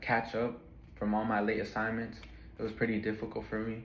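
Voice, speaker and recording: The man talks at a fairly quick pace in a medium pitch. His intonation is monotone and flat, and room echo is audible. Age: 20s. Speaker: college student. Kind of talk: class speech. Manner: casual, some hesitations.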